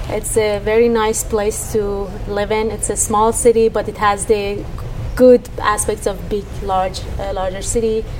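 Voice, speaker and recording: Over music in the background, a woman with an Iranian accent speaks at a fairly slow pace in a fairly high, monotone and flat voice. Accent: Iranian (Persian) English. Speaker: tech startup co-founder. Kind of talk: radio interview. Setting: on location at a startup space. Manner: hesitant, many fillers.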